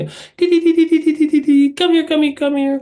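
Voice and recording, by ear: The put-on character voice is high and squeaky, with monotone, flat intonation.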